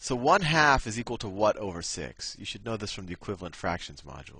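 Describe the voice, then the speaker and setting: A man with a fairly low pitch and vocal fry talks very fast in a bright, sharp tone, with very wide pitch swings and big swings in loudness. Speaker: math tutor. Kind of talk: tutorial. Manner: halting, many false starts.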